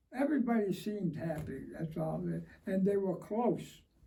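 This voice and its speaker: With audible room echo, a man with a high pitch and a dark, mellow tone speaks at a moderate pace with ordinary pitch variation. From Springfield, Massachusetts, Italian-American neighborhood. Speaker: war veteran. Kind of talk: oral history interview. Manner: halting, repeats words.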